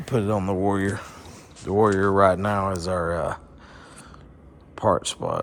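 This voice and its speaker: A man speaks with a monotone, flat intonation at a fairly low pitch, leaving long, frequent pauses. Noticeable background noise is present. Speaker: motorsports YouTuber doing mechanic work. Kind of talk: tutorial.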